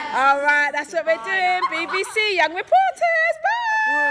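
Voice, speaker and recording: In a raised, projected voice, a woman speaks fairly slowly with an upbeat, energetic tone, an extremely high pitch and ordinary pitch variation. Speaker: youth mentor and presenter. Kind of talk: TV presenter talk with young people.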